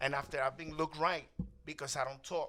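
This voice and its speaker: This man has a bright, sharp tone. He speaks at a fairly quick pace. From Spanish-speaking country, immigrant to US. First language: Spanish. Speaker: talk show host. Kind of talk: panel discussion.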